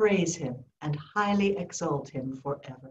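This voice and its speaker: A woman's somewhat breathy voice comes through over light background noise. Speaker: officiant leading prayer service. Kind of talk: fervent extemporaneous prayer, petitioning God. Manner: earnest, heartfelt, slow and pleading. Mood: warm, gentle, smiling. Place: home room. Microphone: video call.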